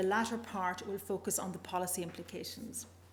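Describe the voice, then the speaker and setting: Her voice sits at a medium pitch for a woman and carries vocal fry. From Northern Ireland. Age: older. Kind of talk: conference presentation.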